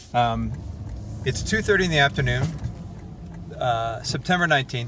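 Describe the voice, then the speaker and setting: Male voice with ordinary pitch variation amid noticeable background noise. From Canada, Windsor area of Ontario. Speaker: touring musician. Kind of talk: video diary.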